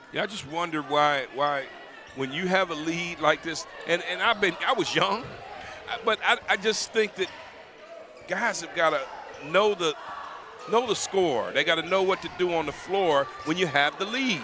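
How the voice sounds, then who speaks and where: Over noticeable background noise, a man with an American accent speaks at a moderate pace, his pitch high. His tone is animated, with ordinary pitch variation and long, frequent pauses. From Detroit. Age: 60s. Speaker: color commentator. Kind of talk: live commentary.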